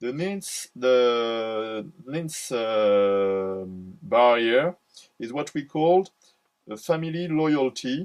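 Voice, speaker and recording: A man with a French accent talks at a medium pitch. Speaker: psychology speaker. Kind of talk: lecture. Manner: halting, many fillers and repetitions.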